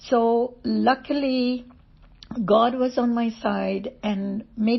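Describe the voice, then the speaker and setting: With monotone, flat intonation, a woman speaks in a somewhat breathy voice. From India. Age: 70s. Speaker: testimony speaker. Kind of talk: testimony. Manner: hesitant with fillers.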